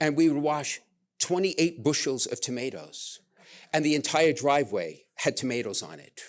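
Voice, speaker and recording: A man with a Brooklyn accent talks at a moderate pace with big swings in loudness. The recording is very clean, with a silent background. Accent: New York (Brooklyn). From Brooklyn, New York, US. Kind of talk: casual chat. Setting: stage with audience.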